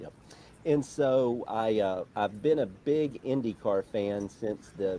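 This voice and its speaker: A man with an Alabama accent talks with ordinary pitch variation. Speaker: motorsport journalist. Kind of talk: interview.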